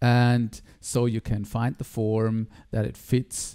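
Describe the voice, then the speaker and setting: A man's dark, mellow tone at a medium pitch, on a very clean recording with a silent background. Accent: German. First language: German. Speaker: digital artist. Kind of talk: tutorial. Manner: halting.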